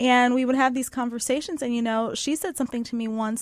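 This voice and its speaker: Very fast speech from a woman on a very clean recording with a silent background. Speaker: opera singer. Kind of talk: interview. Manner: soft-spoken.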